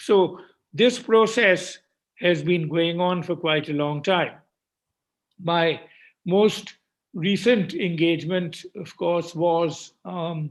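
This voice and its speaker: Speaking at a very slow pace with long, frequent pauses, a man uses fairly even intonation and a high pitch. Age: 80s+. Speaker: economist. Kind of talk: keynote speech. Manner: halting, with frequent fillers.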